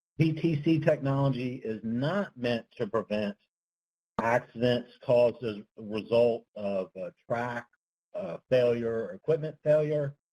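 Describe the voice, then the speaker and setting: With a dark, mellow tone, a man speaks fairly slowly at medium pitch, with ordinary pitch variation and big swings in loudness, in a dry, close sound with no echo. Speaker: transportation engineering consultant. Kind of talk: webinar presentation. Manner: tends to speak softly; hesitant, many fillers. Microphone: speaking into phone.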